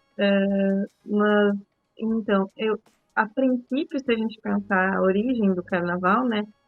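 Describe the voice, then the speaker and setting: Soft-spoken and at a very slow pace, a woman talks at medium pitch with fairly even intonation while music plays in the background. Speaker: podcast co-host. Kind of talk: podcast discussion. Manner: speaking softly, child asleep.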